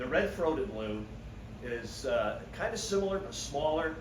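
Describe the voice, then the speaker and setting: Lively intonation from a man, amid noticeable background noise and audible room echo. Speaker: birding society volunteer giving a talk. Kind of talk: slide-show talk. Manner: loud. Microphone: no microphone.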